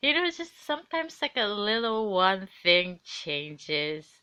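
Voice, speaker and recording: A bright, sharp tone and a non-native accent come through against a quiet background. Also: woman. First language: not English. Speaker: intuitive reader and podcaster. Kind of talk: solo live podcast, casual monologue. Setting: home, on the couch. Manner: halting.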